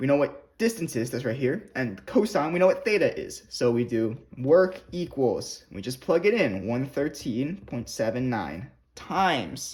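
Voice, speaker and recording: A man speaks at a fairly slow pace and fairly high pitch, somewhat breathy, with very wide pitch swings. The recording is very clean with a silent background. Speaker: physics tutor. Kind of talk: tutorial.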